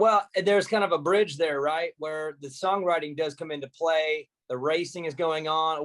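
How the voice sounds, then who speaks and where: The voice belongs to a man and sits fairly high. He keeps a moderate pace, and his pitch varies in an ordinary way. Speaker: podcast host. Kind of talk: interview. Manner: excited.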